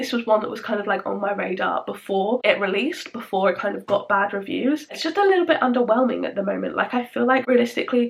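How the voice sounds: A woman talks fast with few pauses, at a medium pitch. Her voice has vocal fry and ordinary pitch variation.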